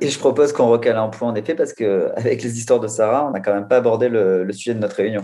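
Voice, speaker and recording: Speaking very fast with hardly any pauses, a man uses a medium pitch, a dark, mellow tone and ordinary pitch variation. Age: 30s. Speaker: digital content manager. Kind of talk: work meeting conversation.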